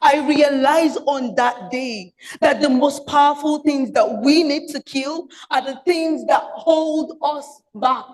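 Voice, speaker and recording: A woman speaks loudly at a very slow pace. Her voice is high-pitched, with ordinary pitch variation. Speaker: public speaker. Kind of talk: prepared speech. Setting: stage with audience.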